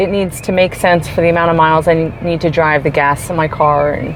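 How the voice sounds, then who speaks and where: A woman speaks at a moderate pace. Noticeable background noise runs under her voice. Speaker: life coach and vlogger. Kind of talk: casual vlog monologue. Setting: in a store while shopping. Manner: loud; animated.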